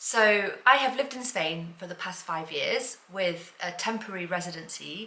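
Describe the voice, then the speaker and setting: Noticeable background noise around a woman's voice of medium pitch. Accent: British. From UK. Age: 40s. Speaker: lifestyle vlogger. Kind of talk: personal vlog monologue. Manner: halting, repeats words.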